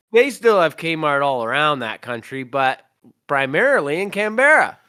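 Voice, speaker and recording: In a Canadian accent, a man talks at a moderate pace in a fairly high voice with very wide pitch swings, recorded very cleanly over a silent background. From Canada. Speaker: vocalist and podcast host. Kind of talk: casual chat.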